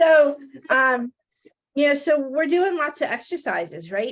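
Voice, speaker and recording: With lively intonation, a woman speaks at a fairly slow pace in a New Jersey accent. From New Jersey, Italian-American. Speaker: real estate trainer, podcast co-host. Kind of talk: casual chat.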